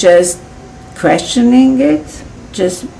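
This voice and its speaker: Room echo and noticeable background noise surround the recording. A woman with a Serbian accent speaks at a very slow pace. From Serbia, Belgrade. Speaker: healing method founder. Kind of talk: interview. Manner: halting.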